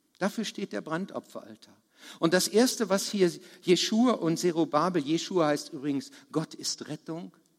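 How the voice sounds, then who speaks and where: A man with a high pitch talks at a moderate pace using lively intonation. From Lower Saxony, Germany (Harz region). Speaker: preacher. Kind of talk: sermon.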